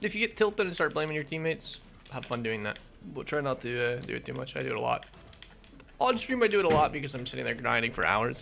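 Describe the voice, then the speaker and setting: Noticeable background noise fills the clip. Over it, a man rattles along at a very fast pace. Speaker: gaming youtuber and streamer. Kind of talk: gameplay commentary. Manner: casual, halting.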